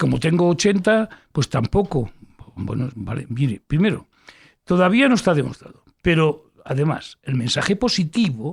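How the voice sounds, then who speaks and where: A man with a high voice for his sex talks at a fairly slow pace, his pitch swinging very widely, in a dry, close sound with no echo. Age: 60s. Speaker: physician and health education professor. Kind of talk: interview. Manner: animated.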